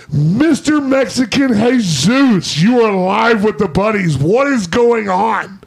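A man with an American accent speaks at a very slow pace in a high pitch, with lively intonation, very even loudness and hardly any pauses. Noticeable background noise runs behind him. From US South. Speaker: podcast host. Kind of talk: casual chat. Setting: studio.

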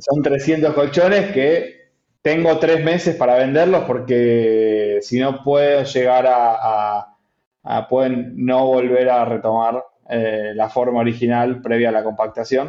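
A man's medium-pitched voice, with ordinary pitch variation, unfolds at a very slow pace. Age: 30s. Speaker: entrepreneur, company CEO. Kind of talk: interview. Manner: halting, many repetitions.

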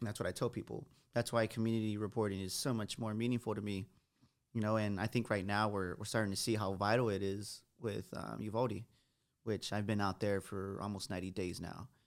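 A man with an American accent, fairly low in pitch, fairly quick, flat and monotone, in a very clean recording with a silent background. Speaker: TV news reporter. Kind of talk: casual chat.

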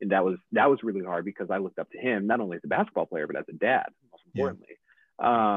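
With an American accent, a man talks in a fairly low pitch with ordinary pitch variation. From upstate New York. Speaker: podcast guest, father. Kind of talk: casual interview. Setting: video call.

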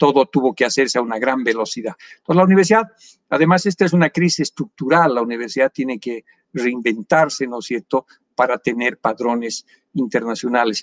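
At a fairly quick pace, the speaker uses a plain, everyday voice with ordinary pitch variation. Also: man, medium pitch for a man, dry, close sound with no echo. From Bolivia, Villazón. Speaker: economist and professor. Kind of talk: interview.

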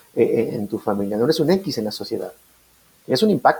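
A man with vocal fry, very wide pitch swings and a fairly quick pace. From Mexico, Nuevo Laredo, Tamaulipas. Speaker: business coordinator and entrepreneurship adviser. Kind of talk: casual interview chat.

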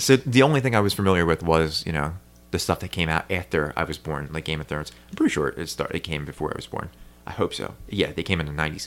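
A man with a very deep, low pitch and an American accent speaks very fast with lively intonation. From New Jersey. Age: 30s. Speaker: podcast host. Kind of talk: casual chat.

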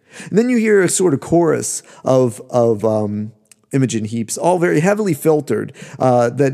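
Speaking at a moderate pace, a man uses a medium pitch and a dark, mellow tone. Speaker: podcast host, musicologist. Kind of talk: lecture. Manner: draws out syllables while searching for words.

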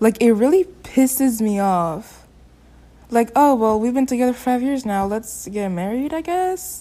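In a non-native accent, a woman speaks fairly slowly with a fairly high pitch, a dark, mellow tone and lively intonation. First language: not English. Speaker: podcast co-host. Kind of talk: casual chat.

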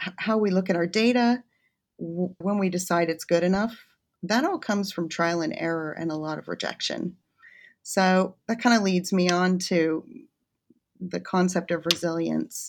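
In a very clean recording with a silent background, a woman with an American accent speaks at a moderate pace and medium pitch with ordinary pitch variation, in a normal speaking voice. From United States. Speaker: chemistry academic. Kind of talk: interview.

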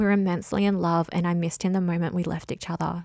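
A woman speaks very fast in an Australian accent. The sound is dry and close with no echo, and the recording is very clean with a silent background. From Australia, south coast of New South Wales. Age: 20s. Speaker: life coach and podcaster. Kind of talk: solo monologue, personal storytelling. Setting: spare bedroom at home.

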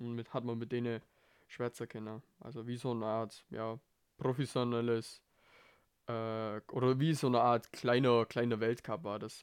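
Very clean and set against a silent background, the recording has a man speaking at a moderate pace. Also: medium pitch for a man, fairly even intonation. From Bavaria, Germany. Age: 20s. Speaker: podcast host, amateur ski racer. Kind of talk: casual monologue. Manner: casual, hesitant with fillers.

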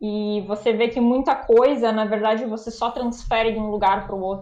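Against audible room echo, a woman speaks at a fairly high pitch in a flat, monotone intonation. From Brazil. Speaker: anesthesiologist. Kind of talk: casual interview.

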